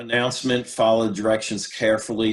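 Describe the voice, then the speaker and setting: Here is a man in a plain, everyday voice. He speaks at a moderate pace with fairly low pitch. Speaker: career workshop presenter. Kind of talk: workshop presentation.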